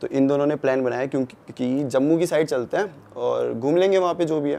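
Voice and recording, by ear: A man speaks at a fairly quick pace with vocal fry. His tone is dark and mellow. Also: medium pitch for a man, ordinary pitch variation.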